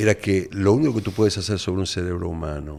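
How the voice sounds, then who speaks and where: With vocal fry and lively intonation, a man speaks on a very clean recording with a silent background. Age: 60s. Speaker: neuroscientist and addiction specialist. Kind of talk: podcast interview.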